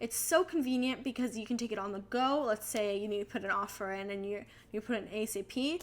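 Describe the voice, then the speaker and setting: Over noticeable background noise, a woman talks at a very fast pace in an animated tone, with ordinary pitch variation. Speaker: real estate agent and video creator. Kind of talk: casual tutorial vlog.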